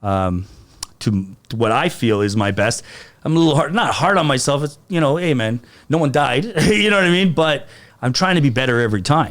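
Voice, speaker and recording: With a Canadian accent, this speaker talks at a fairly quick pace, loudness very even and pitch swinging very wide. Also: man, fairly high pitch for a man. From Canada, Toronto. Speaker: comedian. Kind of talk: casual chat. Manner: animated.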